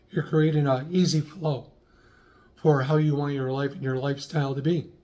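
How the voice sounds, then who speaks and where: At a moderate pace, a man speaks in a fairly high pitch with a somewhat breathy voice. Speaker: lifestyle vlogger. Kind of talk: casual talk to camera.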